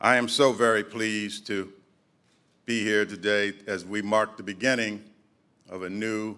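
A man speaks with a bright, sharp tone at a fairly low pitch. His pace is fairly slow. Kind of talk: formal ceremonial speech. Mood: formal, proud. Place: hall. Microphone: podium.

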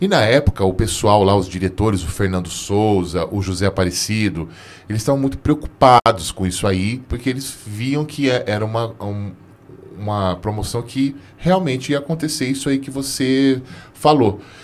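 This man has a fairly low pitch. His intonation is lively. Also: moderate pace. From interior of São Paulo state, Brazil. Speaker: podcast host. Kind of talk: scripted show outro; casual interview chat. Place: studio. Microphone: studio mic.

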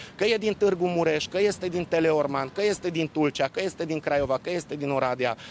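Speaking at a fairly quick pace, a man has a fairly high pitch with ordinary pitch variation. The sound is dry with no echo, with light background noise. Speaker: local official or politician. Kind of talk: formal explanation, firm and lecturing. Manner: firm, formal, assertive. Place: street.

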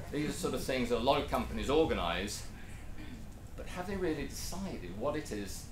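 The pace is fairly quick. Audible room echo and light background noise are present. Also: man. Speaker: presenter. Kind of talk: lecture. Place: meeting room.

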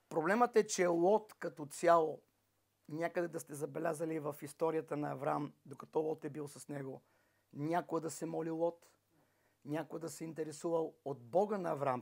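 A man's speech, with fairly even intonation and a moderate pace, sits against a quiet background. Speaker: preacher. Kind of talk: sermon. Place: home room.

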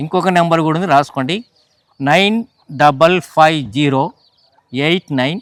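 The sound is dry and close with no echo, carrying a man's fairly high pitch. He has an ordinary speaking voice with ordinary pitch variation. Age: 60s. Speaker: organ donation activist. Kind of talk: interview.

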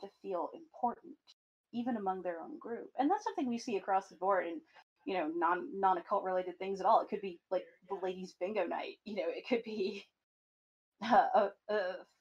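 A woman speaks in an unremarkable speaking voice. Her pace is moderate and her pitch varies in an ordinary way. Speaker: podcast guest, chaos magic practitioner. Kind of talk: podcast conversation.

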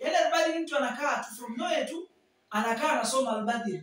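In a room with audible echo, a man talks at a very fast pace. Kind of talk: promotional talk to camera. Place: classroom.

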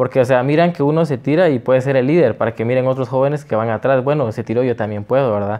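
A man at a medium pitch speaks at a very fast pace with hardly any pauses. His pitch varies in an ordinary way, and the background is quiet. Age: 20s. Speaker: political candidate; candidate. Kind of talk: interview. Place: studio. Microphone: lapel.

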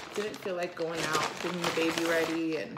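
Loud background noise dominates. A woman talks through it. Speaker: vlogger. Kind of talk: casual vlog chat. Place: kitchen. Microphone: phone near.

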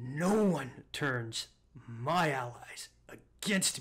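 Very slowly and fairly high in pitch, the man delivers his lines in a put-on character voice. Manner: menacing, enraged.

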